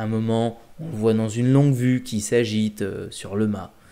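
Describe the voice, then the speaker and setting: A man talks at a very slow pace. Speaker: film reviewer. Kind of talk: casual vlog chat, film review. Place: home room. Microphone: webcam.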